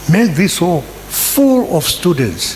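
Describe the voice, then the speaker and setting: Amid noticeable background noise and audible room echo, a man with a high pitch swings very widely in pitch. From Zimbabwe. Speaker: university lecturer. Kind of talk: audience comment at book launch. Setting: hall with audience.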